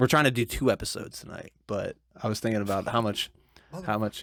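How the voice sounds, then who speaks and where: Talking at a very fast pace, a man speaks with an Ohio accent. The sound is dry and close, with no echo. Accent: Midwestern (Ohio) American. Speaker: podcast co-host. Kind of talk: casual chat.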